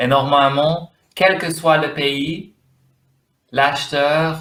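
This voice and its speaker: A man with an English accent speaks at a fairly high pitch. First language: English (speaking French). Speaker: domain name investor. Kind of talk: interview. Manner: halting, searching for words.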